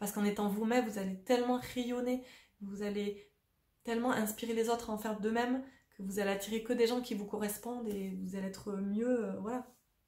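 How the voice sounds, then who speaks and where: Talking at a fairly quick pace, a woman with a fairly high pitch keeps to a flat monotone. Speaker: spiritual coach and vlogger. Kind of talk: casual monologue to camera. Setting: at home on a sofa. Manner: fast; spontaneous, hesitant.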